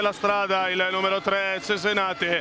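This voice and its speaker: A raised, projected voice with monotone, flat intonation has a dry sound with no echo and noticeable background noise. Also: man. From Italy. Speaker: play-by-play basketball commentator; sports commentator. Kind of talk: live commentary. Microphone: headset.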